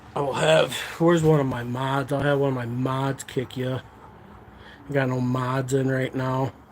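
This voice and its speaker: With an American accent, a man at medium pitch speaks at a moderate pace with fairly even intonation. Long, frequent pauses and noticeable background noise fill the clip. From lower Michigan. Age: 40s. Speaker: live streamer. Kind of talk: casual live stream chat.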